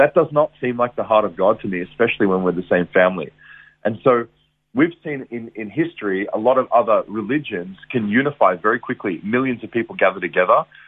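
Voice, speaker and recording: A man talks fairly quickly. His accent is Australian. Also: medium pitch for a man, lively intonation. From Australia, Geelong, Victoria. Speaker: evangelist. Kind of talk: testimony. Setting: radio interview.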